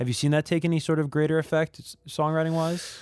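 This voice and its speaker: A man with an American accent in a very clean recording against a silent background. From New Jersey / New York area. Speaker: podcast host. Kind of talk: casual interview.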